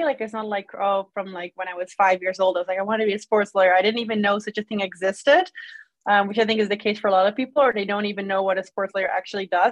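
A woman with a Dutch accent is heard in a dry, close recording with no echo. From Netherlands. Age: 20s. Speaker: sports lawyer. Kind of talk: casual interview.

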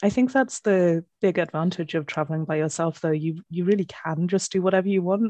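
A woman in a British accent, fairly low in pitch with a dark, mellow tone, at a fairly quick pace over a quiet background. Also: ordinary pitch variation. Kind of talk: casual chat. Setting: video call.

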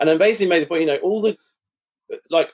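A man is speaking. He has an English accent. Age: 40s. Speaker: author and investment professional. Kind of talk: interview. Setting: video call.

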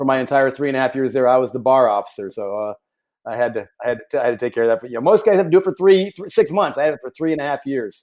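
On a very clean recording with a silent background, a man with a Texan accent talks at a very fast pace. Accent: Texan American. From Texas, Houston area. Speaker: military pilot. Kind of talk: interview. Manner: halting, many repetitions.

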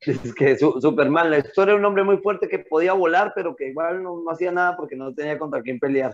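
Delivering his words very fast, a man speaks in a high voice with ordinary pitch variation. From Colombia. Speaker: podcast co-host. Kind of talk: casual chat.

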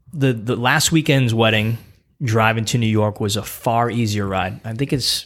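Using a normal speaking voice, a man talks at a moderate pace with a medium pitch and ordinary pitch variation. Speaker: podcast host and youth basketball coach. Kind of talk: casual chat.

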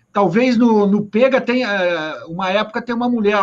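Rather brisk speech from a man, with typical rise and fall in pitch. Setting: video call.

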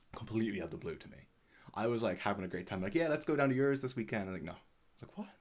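A man talks at a very fast pace in a medium pitch. His voice swings very widely in pitch. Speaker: podcast co-host. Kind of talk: casual chat.

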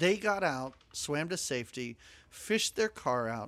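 Very wide pitch swings mark a man's speech. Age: 40s. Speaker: podcast co-host. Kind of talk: casual chat. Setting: video call.

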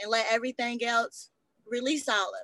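The speech comes at a fairly slow pace, in an American accent. Its tone is bright and sharp, with ordinary pitch variation. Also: woman. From North Carolina. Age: 20s. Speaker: podcast guest, former foster youth. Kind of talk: personal testimony.

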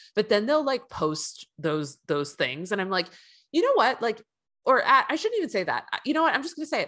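A high-pitched woman's voice with an American accent, bright and sharp in tone, with very wide pitch swings and a fairly quick pace. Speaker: guest sharing grief story. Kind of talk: casual chat.

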